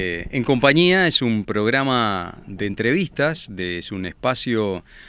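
Over a silent background on a very clean recording, a man with a medium-pitched voice speaks at a very slow pace with lively intonation. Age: young. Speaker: TV presenter. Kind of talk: interview. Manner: hesitant fillers.

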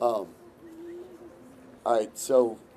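A man talks at a fairly slow pace. Light background noise can be heard. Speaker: election candidate. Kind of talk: victory speech. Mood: grateful, upbeat. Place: hall. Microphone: podium.

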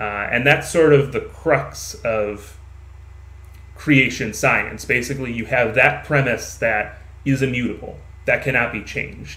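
A man speaks at a medium pitch with vocal fry. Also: ordinary pitch variation. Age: 20s. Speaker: podcast host. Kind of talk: casual chat.

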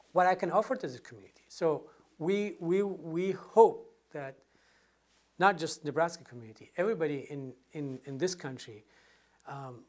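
A man's fairly high voice with a Middle Eastern accent, at a moderate pace with ordinary pitch variation, over a quiet background. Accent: non-native, Middle Eastern. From northern Iraq, Sinjar; Iraq. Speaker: former military interpreter, immigrant; interviewee. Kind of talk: interview answer. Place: home room. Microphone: lapel.

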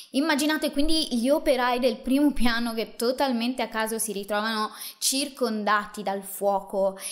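This woman's voice sits fairly high and carries a serious tone, with ordinary pitch variation. The background is quiet. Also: moderate pace. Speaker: true crime host. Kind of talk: true-crime narration, solo monologue to camera. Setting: video channel, solo presenter. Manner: measured, serious storyteller pacing with emphatic asides; casual, chatty, addressing viewers directly. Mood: serious, dramatic storytelling. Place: home room. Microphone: studio mic.

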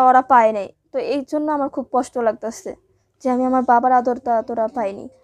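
The background stays quiet while a woman talks. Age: 20s. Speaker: garment worker; interviewee. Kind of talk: personal testimony interview. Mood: sad, grieving her father. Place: home room.

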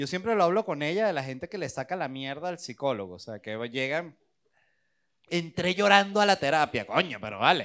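A man talks at a fairly quick pace with a fairly high pitch and very wide pitch swings. His loudness swings widely, and the background is quiet. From Venezuela. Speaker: stand-up comedian. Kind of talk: interview. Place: studio. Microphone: handheld.

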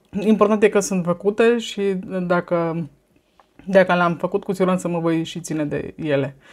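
A woman speaks with a fairly low pitch and ordinary pitch variation. Her pace is moderate. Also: quiet background. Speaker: vlogger. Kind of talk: casual monologue vlog. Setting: filmed at home on a tablet. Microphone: phone near.

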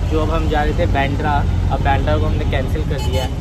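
Dry sound with no echo, set against loud background noise. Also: man. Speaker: vlogger. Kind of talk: casual vlog chat. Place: car. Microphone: earbuds.

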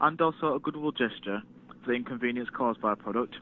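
With ordinary pitch variation, the voice has a dry sound with no echo and light background noise. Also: man. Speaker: customer service agent. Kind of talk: customer service call. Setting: phone line. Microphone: phone line.

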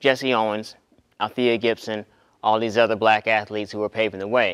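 At a moderate pace, a man with a medium pitch talks over a quiet background. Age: 40s. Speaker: graduate student and speaker. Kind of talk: talk to a student audience. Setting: stage with live audience. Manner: conversational. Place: hall.

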